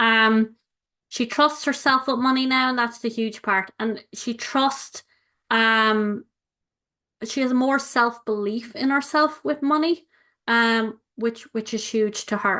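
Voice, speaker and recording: Speaking very slowly in an Irish accent, a woman has a fairly high voice with a bright, sharp tone. Her pitch variation is ordinary. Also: quiet background. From Ireland. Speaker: money coach. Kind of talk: live webinar presentation. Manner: animated.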